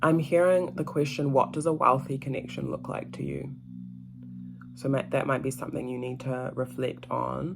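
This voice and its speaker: Someone speaks at a moderate pace while music plays in the background. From Ghana. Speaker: tarot reader, spiritual mentor. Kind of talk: tarot reading monologue. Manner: casual, hesitant with fillers.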